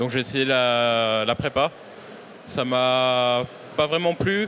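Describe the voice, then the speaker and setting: Noticeable background noise sits behind a man of medium pitch speaking at a very slow pace. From Réunion. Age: 20s. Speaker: bus maintenance apprentice. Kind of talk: interview. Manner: hesitant, many fillers.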